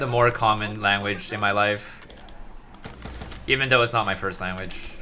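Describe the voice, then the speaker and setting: The speaker talks at a moderate pace with a Mandarin accent. Intonation is fairly even, and there is noticeable background noise. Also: man, fairly low pitch for a man. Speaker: gaming streamer. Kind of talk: live stream commentary.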